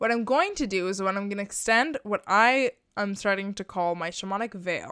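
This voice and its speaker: The recording is very clean, its background silent. The speaker is a woman. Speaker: spiritual guide podcaster. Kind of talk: guided meditation. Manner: gentle, inviting, hypnotic.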